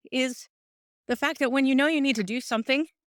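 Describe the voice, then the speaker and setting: A woman speaks in a high pitch at a fairly quick pace, with ordinary pitch variation. The recording is very clean and dry, close with no echo, over a silent background. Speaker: podcast host. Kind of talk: casual chat. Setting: outdoors on a walk.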